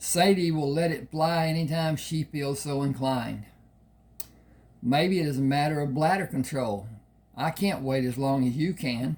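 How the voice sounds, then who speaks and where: The man's voice is somewhat breathy, with ordinary pitch variation. He moves at a moderate pace. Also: fairly high pitch for a man. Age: 80s+. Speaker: author reading his own novel. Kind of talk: reading aloud. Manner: halting.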